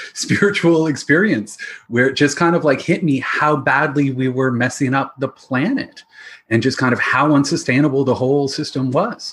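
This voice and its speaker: A man with a Canadian accent and a plain, everyday voice, fairly high in pitch, with ordinary pitch variation, very even loudness and a moderate pace. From Ontario, Canada (London, Ontario). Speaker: financial advisor specializing in responsible investing. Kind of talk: casual interview chat.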